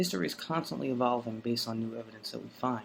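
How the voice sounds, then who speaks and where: Moving at a fairly quick pace, this man talks in a New York accent. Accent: New York City. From South Brooklyn, New York City. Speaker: vlogger. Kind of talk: unscripted monologue. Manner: hesitant, many fillers.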